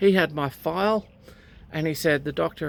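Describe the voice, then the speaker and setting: The speaker has an Australian accent and keeps to a moderate pace. The recording is very clean, with a silent background. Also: woman. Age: 60s. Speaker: recreational pilot, vlogger. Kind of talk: personal storytelling vlog. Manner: conversational with hesitations.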